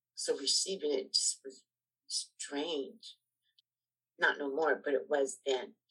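A woman talks at a very slow pace, leaving long, frequent pauses. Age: 60s. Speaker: formerly homeless woman sharing her story. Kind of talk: testimony.

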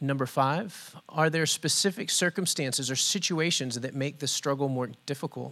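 Very clean, with a silent background, this recording captures a man at a fairly high pitch. His tone is bright and sharp, with ordinary pitch variation. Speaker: pastor. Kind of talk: leading prayer and response. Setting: church.

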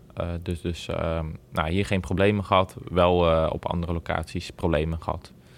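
A man's very deep, low voice in a monotone, flat intonation at a moderate pace. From Netherlands, Bommelerwaard (Gelderland). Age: 20s. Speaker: greenhouse grower. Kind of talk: interview. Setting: on location at the nursery. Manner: halting, many filler words.

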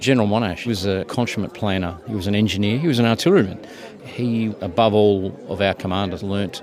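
Crowd noise fills the background as a man speaks at a fairly quick pace. His Australian accent comes with a fairly low pitch and fairly even intonation. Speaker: military officer. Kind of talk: interview reflection.

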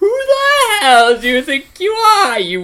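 A put-on character voice at an extremely high pitch, with very wide pitch swings and a fairly slow pace. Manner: angry, confrontational.

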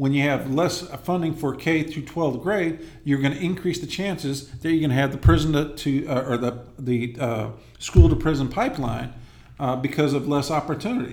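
A man with an American accent and a fairly high voice, ordinary pitch variation, a moderate pace and audible room echo. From Los Angeles area, California. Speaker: congressional candidate, army veteran. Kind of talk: interview.

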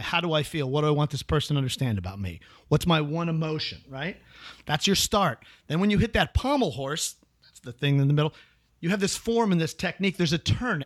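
Here is a man with an American accent and an unremarkable speaking voice, fairly high in pitch. His intonation is lively and his pace fairly quick, on a very clean recording with a silent background. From US Midwest, Chicago. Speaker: actor. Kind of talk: casual chat.

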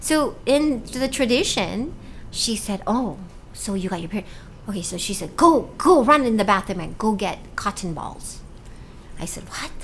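The speaker goes at a moderate pace and sounds somewhat breathy. Both pitch and loudness swing widely, the pitch very much so. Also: woman. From Hawaii, raised from age ten; born in Cebu, Philippines. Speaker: author and TV weather presenter. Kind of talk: casual interview. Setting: podcast studio.

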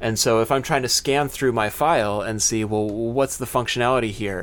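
A man with an ordinary speaking voice talks at a moderate pace and a medium pitch, with ordinary pitch variation. The recording is very clean, with a silent background. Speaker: podcast host. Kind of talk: casual chat. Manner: chatty, laughs often.

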